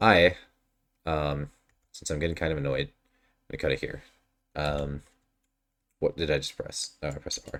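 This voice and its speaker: A man's very deep, low voice with vocal fry and fairly even intonation, at a moderate pace with long, frequent pauses. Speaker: gaming streamer. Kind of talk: casual gameplay commentary.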